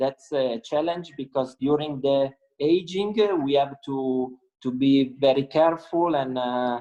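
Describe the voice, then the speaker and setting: This man's voice sits fairly high in pitch. He talks at a fairly slow pace with ordinary pitch variation. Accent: Italian. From Italy, Piedmont (Langhe). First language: Italian. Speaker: winemaker. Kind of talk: interview. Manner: halting, many fillers.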